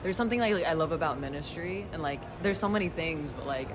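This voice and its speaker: The speech comes at a very fast pace with noticeable background noise behind it. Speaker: young adult cohort participant. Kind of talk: reflective sharing. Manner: casual, many fillers.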